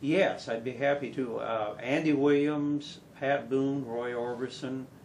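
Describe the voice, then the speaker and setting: Speaking at a fairly slow pace with an American accent, a man keeps a medium pitch and fairly even intonation amid noticeable background noise and audible room echo. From Wisconsin, US Upper Midwest. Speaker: country singer. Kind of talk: casual interview. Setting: studio. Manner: halting, many fillers.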